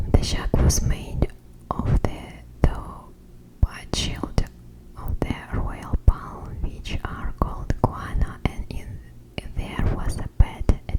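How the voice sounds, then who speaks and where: Whispering at a very slow pace in a Russian accent, the speaker is heard over noticeable background noise. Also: woman. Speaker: ASMR creator. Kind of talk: ASMR book reading.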